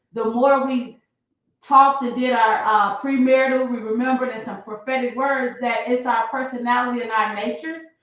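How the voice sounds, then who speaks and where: A loud, high-pitched woman's voice at a moderate pace, with fairly even intonation and audible room echo. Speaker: prophetess and guest. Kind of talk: casual interview. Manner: loud, expressive.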